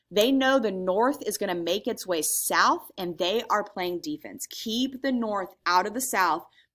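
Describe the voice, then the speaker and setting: A woman has an ordinary speaking voice at medium pitch, with lively intonation and a fairly slow pace. The recording is very clean, with a silent background. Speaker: teacher. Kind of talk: recorded lecture. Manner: casual, filler-heavy.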